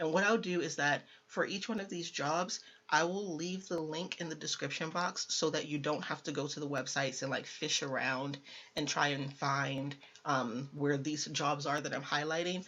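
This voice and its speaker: With ordinary pitch variation, a woman speaks in a very deep, low voice. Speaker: tech career youtuber. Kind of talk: tutorial. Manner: fast.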